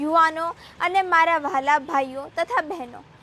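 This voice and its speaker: A woman with an extremely high pitch speaks in a raised, projected voice over noticeable background noise. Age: young. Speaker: activist. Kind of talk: political speech. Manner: impassioned.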